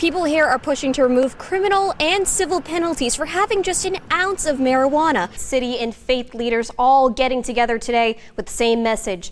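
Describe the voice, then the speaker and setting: Over noticeable background noise, a woman with an American accent speaks at a fairly quick pace with hardly any pauses, her high voice carrying lively intonation. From Boston. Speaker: TV news reporter. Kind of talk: TV news report.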